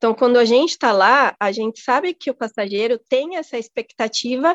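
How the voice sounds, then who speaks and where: Against a quiet background, a woman with a high pitch talks at a fairly quick pace with lively intonation, the sound dry and close with no echo. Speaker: flight attendant. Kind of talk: casual interview. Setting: remote call.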